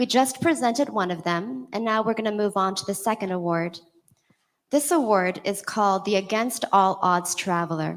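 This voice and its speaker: A plain, everyday voice belongs to a woman at medium pitch. She talks at a moderate pace with lively intonation. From California. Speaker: awards show presenter. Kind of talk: awards ceremony presenting.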